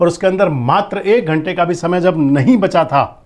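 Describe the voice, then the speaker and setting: This man's lively intonation comes through at a fairly slow pace. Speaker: news anchor. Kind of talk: political news commentary. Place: studio. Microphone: lapel.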